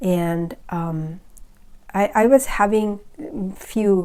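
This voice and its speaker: In a very clean recording with a silent background, the speaker has a Bengali accent and ordinary pitch variation. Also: woman. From Bangladesh. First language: Bangla. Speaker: spiritual video creator. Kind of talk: personal testimony. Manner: halting, many fillers.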